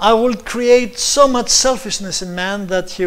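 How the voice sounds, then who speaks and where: Speaking with a non-native accent, a man goes at a fairly slow pace. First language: Greek. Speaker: preacher and scientist. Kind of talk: sermon-style presentation. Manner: halting.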